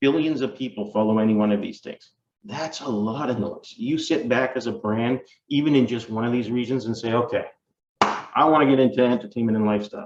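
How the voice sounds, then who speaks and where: A man at a medium pitch and a fairly quick pace. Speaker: market research company presenter. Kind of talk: webinar presentation. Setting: online webinar. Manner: fast.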